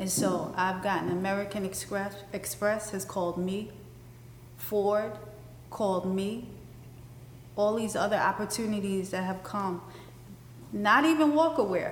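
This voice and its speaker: Speaking fairly slowly with an ordinary pitch variation, a woman with a New York accent leaves long, frequent pauses, and the room echo is audible. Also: medium pitch for a woman. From Brooklyn, New York (Bed Stuy). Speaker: fashion designer. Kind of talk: interview in front of live audience. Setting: stage with live audience.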